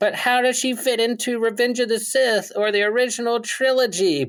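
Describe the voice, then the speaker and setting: Putting on a whiny character voice at an extremely high pitch, a man speaks at a moderate pace. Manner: whiny, nerdy.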